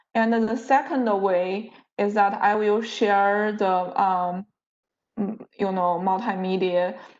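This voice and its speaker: A woman at a very slow pace and medium pitch, fairly even in intonation, with audible room echo. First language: not English. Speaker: university lecturer. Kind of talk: lecture. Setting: video call. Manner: halting.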